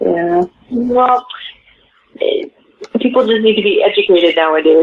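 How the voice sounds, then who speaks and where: Using a plain, everyday voice, a woman talks at a moderate pace with a fairly high pitch, lively intonation and very even loudness. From western Canada, Vancouver. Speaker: pop singer. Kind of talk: interview.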